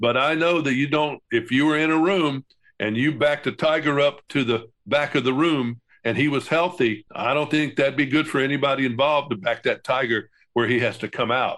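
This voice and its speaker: Over a quiet background, a man with an unremarkable speaking voice speaks at a fairly quick pace. His fairly high pitch shows ordinary variation, and his loudness is very even. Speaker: veteran broadcaster, podcast co-host. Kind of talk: podcast conversation, news commentary.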